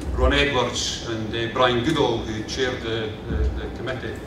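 Noticeable background noise and audible room echo surround a man as he speaks. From Scotland, Kirkcaldy, Fife. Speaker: local councillor. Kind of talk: ceremonial speech. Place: hall. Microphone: podium.

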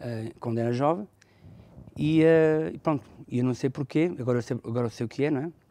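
His tone dark and mellow, a man speaks at a moderate pace with ordinary pitch variation. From northern Portugal (Felgueiras), raised partly in France. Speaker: bishop. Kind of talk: testimony.

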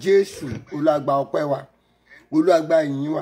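With a southwestern Nigerian accent, a man speaks at a fairly high pitch and a fairly slow pace. His pitch varies in an ordinary way, and the background is quiet. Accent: Yoruba-accented. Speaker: pastor. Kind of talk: fervent prayer. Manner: loud, pleading and commanding. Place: home room. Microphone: phone near.

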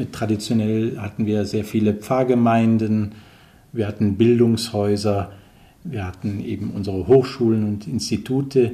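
With music in the background, a man speaks at a fairly slow pace in a monotone, flat intonation. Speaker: missionary priest. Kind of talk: interview answer. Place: office.

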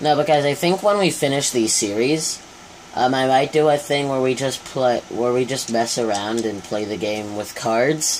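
A man at a moderate pace with ordinary pitch variation and light background noise. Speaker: gamer. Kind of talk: casual gameplay commentary. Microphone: phone near.

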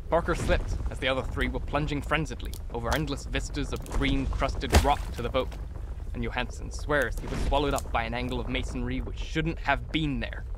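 The sound is dry with no echo, though noticeable background noise is present. A man speaks fairly quickly. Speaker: audiobook narrator. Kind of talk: scripted narration, reading aloud a horror story. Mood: dramatic, dark storytelling. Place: home room. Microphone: studio mic.

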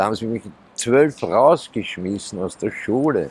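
A man's voice with ordinary pitch variation and a dry sound free of echo. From Austria, Vienna. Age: 50s. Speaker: homeless man; interviewee. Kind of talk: life story interview. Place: street.

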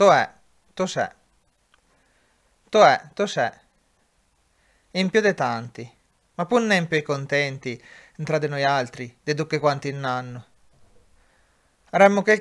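In a very clean recording with a silent background, a man with an Umbrian accent talks fairly slowly at a fairly high pitch with lively intonation. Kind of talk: dialect poetry reading.

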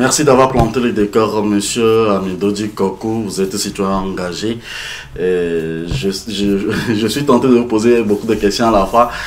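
The man has an ordinary speaking voice, fairly low in pitch with ordinary pitch variation, and his delivery is fairly slow. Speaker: talk show host. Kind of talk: panel discussion.

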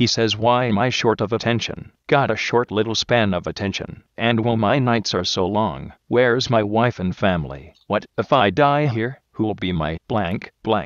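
In a put-on, robotic character voice, a man speaks at medium pitch and a moderate pace with hardly any pauses against a quiet background.

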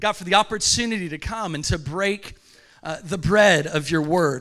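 In a raised, projected voice, a man speaks at a moderate pace with a bright, sharp tone. His pitch varies in an ordinary way over a quiet background. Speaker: pastor. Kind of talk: sermon. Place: church. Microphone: handheld.

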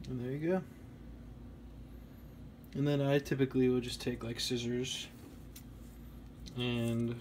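A man speaks in a medium pitch at a fairly slow pace. His intonation stays monotone and flat. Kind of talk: DIY electronics tutorial narration. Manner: casual, relaxed.

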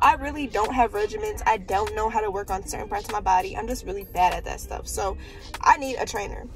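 Over clear background music, a woman talks at a fairly quick pace in a dry sound with no echo. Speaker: vlogger. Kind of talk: casual vlog chat. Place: car. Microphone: phone near.

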